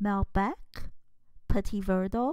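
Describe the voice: A woman talks at a slow pace with ordinary pitch variation. Her tone is slightly mellow.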